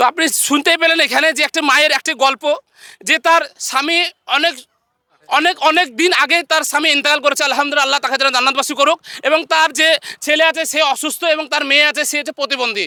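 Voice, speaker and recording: A man's extremely high-pitched, raised and projected voice, with fairly even intonation, very even loudness and a dry, close sound free of echo. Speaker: street video host. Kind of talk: casual talk to camera.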